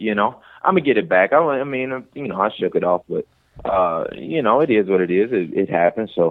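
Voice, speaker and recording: A man with a Detroit accent, lively intonation and a fairly quick pace. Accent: Detroit urban American. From Detroit, Michigan. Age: 20s. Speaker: MMA fighter. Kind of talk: casual chat.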